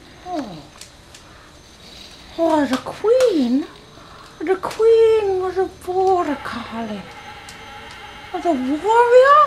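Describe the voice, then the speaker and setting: Using a put-on character voice at an extremely high pitch, a woman speaks very slowly with very wide pitch swings and long, frequent pauses. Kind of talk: comic overacting. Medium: comedy sketch. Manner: mystical, drawn-out, full of hums and sighs.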